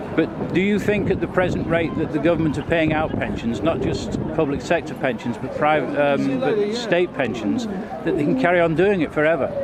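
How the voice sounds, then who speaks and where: There is audible room echo and noticeable background noise. A man talks with hardly any pauses. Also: fairly high pitch for a man, lively intonation, moderate pace. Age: 60s. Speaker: amateur video reporter, retired bus driver. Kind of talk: on-the-street video report and interviews. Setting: outdoors at a protest march.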